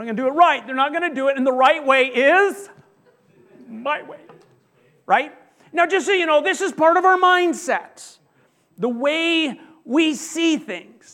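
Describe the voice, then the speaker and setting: A man's raised, projected voice has an extremely high pitch and a bright, sharp tone, with ordinary pitch variation. He speaks at a fairly slow pace with long, frequent pauses. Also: big swings in loudness. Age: 50s. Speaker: pastor. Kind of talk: sermon.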